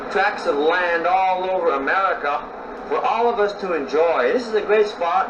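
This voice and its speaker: Against noticeable background noise, a man speaks fairly slowly at a high pitch with ordinary pitch variation. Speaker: storyteller. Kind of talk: casual talk to camera. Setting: outdoors.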